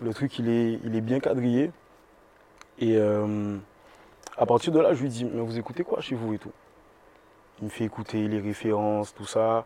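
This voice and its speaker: A man talks at a fairly slow pace with long, frequent pauses. His medium-pitched voice has fairly even intonation. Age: 20s. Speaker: singer. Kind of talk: interview. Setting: bookstore cultural space.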